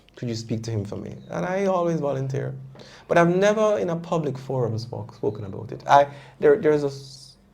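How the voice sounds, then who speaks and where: At a fairly quick pace and a fairly high pitch, a man speaks with big swings in loudness amid audible room echo. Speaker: prostate cancer survivor. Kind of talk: testimony. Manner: halting.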